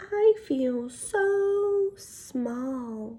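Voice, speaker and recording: Very wide pitch swings mark this put-on character voice, female-sounding and high in pitch for a woman. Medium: read story. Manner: eager, bright.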